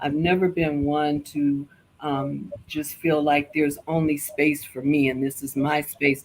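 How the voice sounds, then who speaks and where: Her voice is very deep, with a low pitch for a woman. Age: 60s. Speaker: lifestyle show guest. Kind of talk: casual interview chat.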